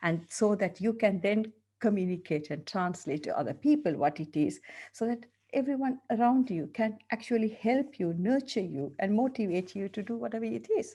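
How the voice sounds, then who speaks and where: A woman with a strong Sri Lankan accent speaks at a moderate pace, her medium-pitched voice somewhat breathy with a dark, mellow tone. Her intonation is lively, and the background is quiet. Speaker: dentist and coach. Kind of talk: interview.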